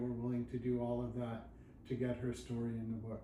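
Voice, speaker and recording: Through noticeable background noise and audible room echo, a man talks at a medium pitch. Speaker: judo book author. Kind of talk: casual interview chat. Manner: monotone.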